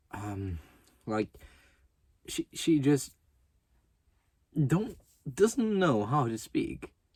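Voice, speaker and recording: A man speaks very slowly in a fairly high pitch, with very wide pitch swings. His voice is somewhat breathy, with long, frequent pauses. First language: German. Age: 20s. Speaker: youtuber. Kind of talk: casual rant. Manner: stuttering, halting; fillers, um, like.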